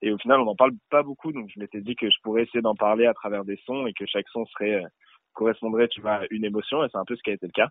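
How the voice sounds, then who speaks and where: Intonation stays fairly even while the words come at a very fast pace. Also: man, fairly low pitch for a man. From Paris suburbs, France. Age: 20s. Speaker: rapper. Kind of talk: interview. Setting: phone call. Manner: casual, hesitant with many fillers.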